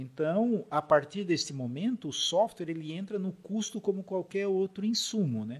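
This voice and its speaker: A man speaks at a moderate pace with hardly any pauses. His pitch is high and his intonation lively. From southern Santa Catarina, Brazil (Urussanga); Blumenau from age 14. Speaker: software company founder and CEO. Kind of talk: interview conversation.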